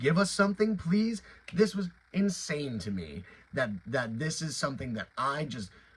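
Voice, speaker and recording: At a moderate pace, a man with a somewhat breathy voice talks with very wide pitch swings. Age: 20s. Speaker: YouTuber reviewing toys and franchise news. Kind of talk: casual video commentary. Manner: filler-heavy, many restarts.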